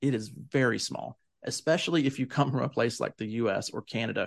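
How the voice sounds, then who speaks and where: Against a quiet background, the speaker uses vocal fry and ordinary pitch variation in a Southern US accent. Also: man. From US South. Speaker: podcast co-host and tour operator. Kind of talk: casual conversational podcast.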